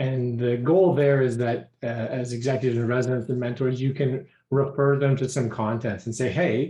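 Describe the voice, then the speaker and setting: A man's somewhat breathy voice sits at medium pitch with a dark, mellow tone. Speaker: program director at a startup accelerator. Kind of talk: online meeting presentation. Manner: fast.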